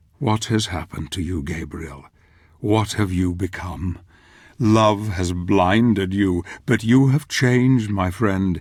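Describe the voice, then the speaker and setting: A man puts on a character voice at a fairly low pitch, speaking at a fairly slow pace in a very clean recording with a silent background. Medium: video game. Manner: solemn, reflective.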